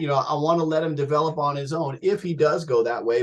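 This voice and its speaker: Speaking in an American accent, a man's voice sits fairly high for a male. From US Northeast (New Jersey). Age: 50s. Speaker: rock singer. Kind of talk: interview. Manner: animated.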